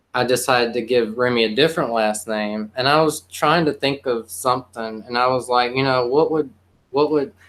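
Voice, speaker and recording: A man with a Southern accent talks at a fairly quick pace, his medium-pitched voice showing ordinary pitch variation. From South Carolina. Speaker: poet and musician. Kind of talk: casual chat.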